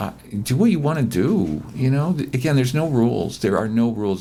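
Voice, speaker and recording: Very wide pitch swings mark this man's speech, delivered at a very fast pace. There is noticeable background noise. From Hawaii (Hilo, Big Island). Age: 60s. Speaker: playwright and actor. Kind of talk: interview conversation. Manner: halting, many fillers.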